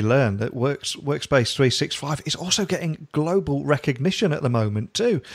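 An enthusiastic-sounding man with a British accent and very wide pitch swings. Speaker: tech podcast host. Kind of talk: interview.

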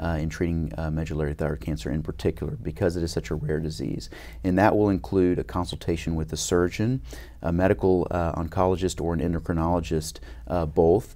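A man's very deep, low voice with vocal fry and a dark, mellow tone, at a very fast pace with lively intonation over a quiet background. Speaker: head and neck surgeon. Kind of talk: interview. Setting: conference. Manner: frequent fillers and repetitions. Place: studio. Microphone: lapel.

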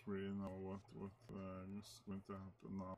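A man talks at a fairly slow pace. Light background noise sits behind him. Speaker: speedrunner. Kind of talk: gameplay commentary. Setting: faulty microphone. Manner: hesitant, many filler words. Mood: relaxed, a bit hesitant. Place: home room.

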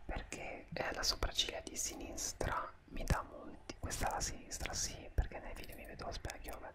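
Loud background noise surrounds a man speaking at a medium tempo. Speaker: beauty vlogger. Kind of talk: casual vlog chat. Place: home room. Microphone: studio mic.

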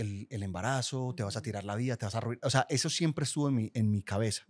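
Against a quiet background, a man with a medium pitch speaks with ordinary pitch variation. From Colombia, Guatapé (Antioquia); Antioquia, Colombia. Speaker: podcast producer. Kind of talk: casual chat. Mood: open, relaxed, confessional. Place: studio. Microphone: studio mic.

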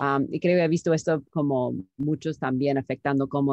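A woman speaks with an English accent at a moderate pace, her pitch very deep and low. The sound is dry with no echo, and the background is quiet. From United States. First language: English (speaking Spanish). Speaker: startup founder and CEO; interview guest. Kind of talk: interview. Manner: halting, many fillers. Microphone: video call.

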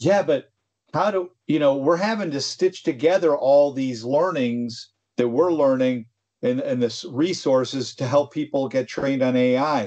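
Against a quiet background, a dark, mellow voice speaks at a fairly slow pace with ordinary pitch variation. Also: man. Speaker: tech company presenter and podcast co-host. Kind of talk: casual chat. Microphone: video call.

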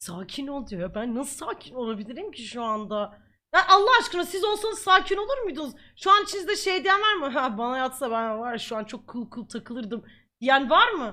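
A woman's raised, projected voice, high in pitch with a bright, sharp tone, comes across as animated at a moderate pace, with very wide pitch swings and big shifts in loudness. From Ankara, Turkey. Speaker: streamer. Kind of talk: live stream chat. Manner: repetitive, laughing.

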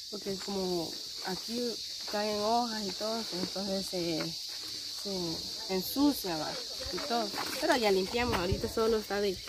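Against loud background noise, a woman talks at a fairly slow pace with ordinary pitch variation, long, frequent pauses and a dry sound with no echo. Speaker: vlogger. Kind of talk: casual vlog chat. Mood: cheerful, slightly somber topic. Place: open country.

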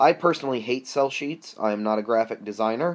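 The surroundings are quiet. A man speaks with pitch that shifts in an ordinary way. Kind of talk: casual vlog chat. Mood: reflective, candid. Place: home room. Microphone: webcam.

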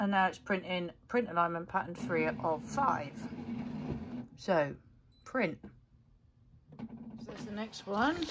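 A woman speaks at a fairly slow pace with long, frequent pauses, over noticeable background noise. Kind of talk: tutorial. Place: home room. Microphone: phone near.

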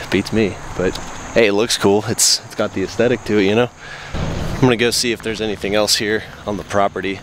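Recorded dry with no echo but noticeable background noise, a man speaks at a fairly low pitch and a moderate pace. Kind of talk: casual vlog chat. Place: open country. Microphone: phone near.

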